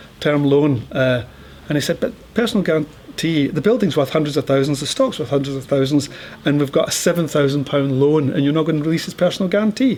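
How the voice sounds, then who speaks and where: Very fast speech from a man in a Scottish accent, his pitch fairly high, with noticeable background noise. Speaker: entrepreneur and angel investor. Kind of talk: talk with audience Q&A.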